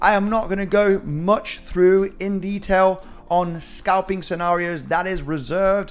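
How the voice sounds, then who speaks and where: A man's high-pitched, animated voice at a fairly slow pace, with a slight British accent. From Spain. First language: Spanish. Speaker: crypto trading analyst. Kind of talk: live-stream market analysis.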